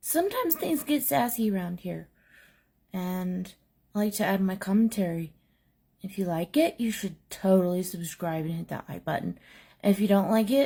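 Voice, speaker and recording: A soft-spoken woman with a dark, mellow tone and medium pitch talks at a moderate pace with lively intonation. Long, frequent pauses come through on a very clean recording with a silent background. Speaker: commentary channel host. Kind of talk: casual commentary. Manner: trying to speak louder.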